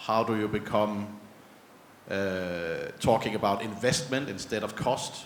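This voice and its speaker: A man with a Danish accent speaks at a fairly low pitch. Noticeable background noise and audible room echo fill the recording. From Denmark. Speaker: panel moderator. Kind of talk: panel discussion.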